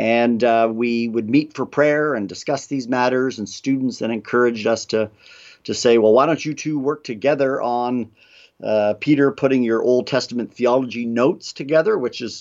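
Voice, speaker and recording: The background is quiet. A man speaks at a moderate pace and medium pitch with fairly even intonation. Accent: Ontario. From Canada, Toronto area. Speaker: theology professor. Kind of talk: interview on theology.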